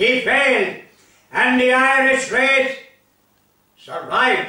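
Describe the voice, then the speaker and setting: A man projects a raised voice at an extremely high pitch, speaking very slowly. The background is quiet, with audible echo in the room. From Ireland, County Limerick; Ireland. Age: 80s+. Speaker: storyteller. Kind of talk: storytelling. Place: home room.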